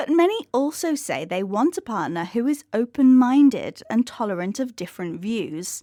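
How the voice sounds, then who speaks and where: With hardly any pauses, a woman's high, dark, mellow voice moves through very wide pitch swings. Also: moderate pace. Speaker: podcast presenter. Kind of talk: educational podcast presentation.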